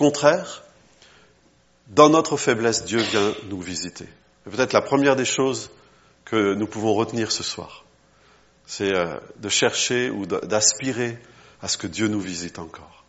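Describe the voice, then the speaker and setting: Lively in intonation, a man of medium pitch talks at a fairly slow pace with long, frequent pauses. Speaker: travelling preacher. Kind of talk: sermon. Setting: church.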